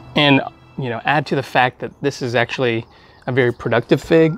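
A man talks at a fairly quick pace with fairly even intonation. The sound is dry with no echo, and faint music plays in the background. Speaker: fig grower reviewer. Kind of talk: casual review chat. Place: garden.

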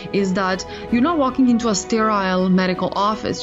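A woman speaks with ordinary pitch variation while clear music plays in the background. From Serbia. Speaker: physiotherapist. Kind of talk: podcast guest interview answer. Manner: hesitant, many fillers. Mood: warm, earnest. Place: office.

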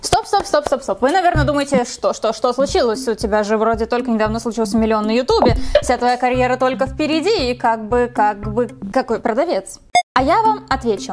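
A woman speaks at a high pitch with very wide pitch swings. Music plays in the background. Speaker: beauty vlogger. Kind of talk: casual vlog chat. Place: home room.

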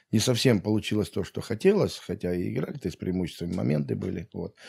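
Against a quiet background, a man with a very deep, low pitch and a dark, mellow tone speaks at a fairly quick pace with lively intonation. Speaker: football coach. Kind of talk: casual interview. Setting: at guest's home. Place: home room. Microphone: studio mic.

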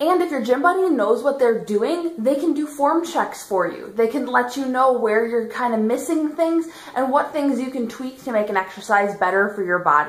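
A woman speaks at a high pitch. Room echo is audible. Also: moderate pace. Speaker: fitness vlogger. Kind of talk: casual vlog chat. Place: home room. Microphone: phone near.

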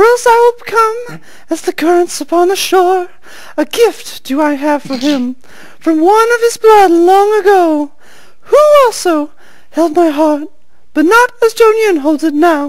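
A female-sounding voice puts on a character voice pitched extremely high. Light background noise is present. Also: moderate pace. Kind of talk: theatrical fantasy reading. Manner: earnest, wistful, archaic.

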